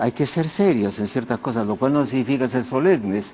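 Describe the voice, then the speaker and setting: The tone is dark and mellow. Pitch moves with ordinary variation. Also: man. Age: 80s+. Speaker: sociologist and historian. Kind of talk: TV interview. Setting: TV studio. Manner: halting, with many restarts.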